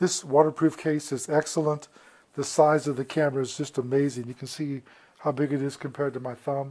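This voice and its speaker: Fairly quick and monotone, a man speaks at a fairly high pitch in a dark, mellow tone. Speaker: product reviewer. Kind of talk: product review.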